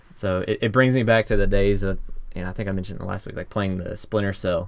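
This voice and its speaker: This speaker is a man. His accent is American. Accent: Southern accent, slightly toned down. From US South. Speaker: podcast host. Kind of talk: casual chat. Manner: drops g's.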